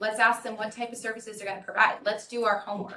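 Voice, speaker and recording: A woman speaks in a bright, sharp tone at a medium pitch. Audible room echo surrounds her voice. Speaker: public commenter, private mental health provider. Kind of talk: public comment at city council meeting. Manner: loud.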